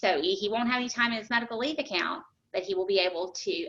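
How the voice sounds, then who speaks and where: A woman talks at a fairly quick pace in a fairly high pitch, her bright, sharp tone swinging very widely up and down. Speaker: HR director presenting benefits. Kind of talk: webinar presentation Q&A. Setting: online webinar. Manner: fast; hesitant with many fillers.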